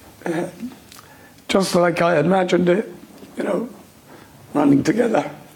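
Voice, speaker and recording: A high-pitched man with lively intonation amid noticeable background noise. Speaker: father of a hostage. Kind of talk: emotional interview. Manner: halting, emotional.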